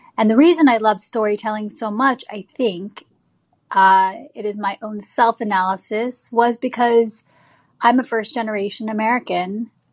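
Against a quiet background, a woman with a normal speaking voice talks at a fairly high pitch with fairly even intonation. Her loudness swings widely. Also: moderate pace. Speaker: film/TV producer and artist. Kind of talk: interview, storytelling. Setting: online live show.

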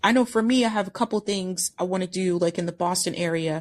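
Woman in a plain, everyday voice, fairly low in pitch with lively intonation, at a fairly quick pace over a quiet background. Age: 30s. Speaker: podcast host. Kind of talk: casual chat.

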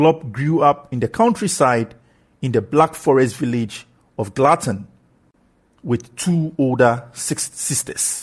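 Very slow, somewhat breathy man's voice of medium pitch with lively intonation against a quiet background. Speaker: podcast host. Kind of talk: scripted narration, sports podcast. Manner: enthusiastic, formal.

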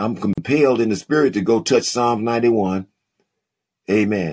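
A man's voice with ordinary pitch variation. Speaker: podcast host and preacher. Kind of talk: live call-in Bible teaching and preaching. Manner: warm, fervent, animated preacher cadence with call-and-response amens.

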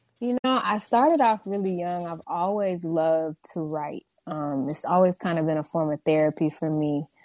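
Using an ordinary speaking voice, a woman with an American accent and a fairly low pitch talks at a moderate pace with ordinary pitch variation and hardly any pauses. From Houston, Texas. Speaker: R&B singer-songwriter. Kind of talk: radio interview.

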